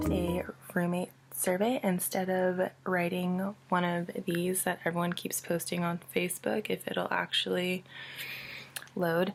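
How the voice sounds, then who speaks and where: Whispered words from a woman, fairly slow in pace. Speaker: college student. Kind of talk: casual talk to camera.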